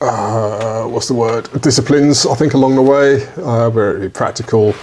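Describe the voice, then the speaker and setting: A man with a British accent talks at a fairly quick pace in a medium pitch. Noticeable background noise runs underneath. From UK. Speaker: podcast co-host, shooting business owner. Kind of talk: casual podcast chat. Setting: studio with microphones.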